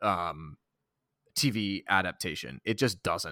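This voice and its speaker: Speaking very slowly with an American accent, a man uses a bright, sharp tone and very wide pitch swings, in a very clean, dry, close recording with no echo and a silent background. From Boston, Massachusetts. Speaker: podcast co-host. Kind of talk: casual chat.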